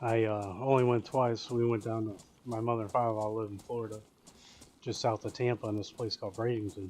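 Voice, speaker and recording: A man with an American accent talks very fast at medium pitch. His intonation is flat and monotone. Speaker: gaming streamer. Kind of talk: casual chat. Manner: rambling with frequent fillers and restarts.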